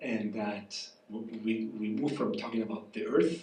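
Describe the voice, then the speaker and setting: A man with a Spanish accent speaks at a medium pitch, and audible room echo surrounds his voice. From southern Spain, rural. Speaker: professor. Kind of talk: public conversation. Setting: cafe event with audience.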